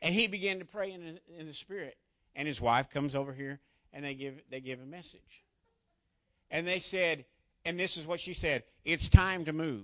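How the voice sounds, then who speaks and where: A man with a fairly high pitch and an animated tone speaks at a moderate pace, with big swings in loudness, ordinary pitch variation and long, frequent pauses. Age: 40s. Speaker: church elder. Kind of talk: testimony.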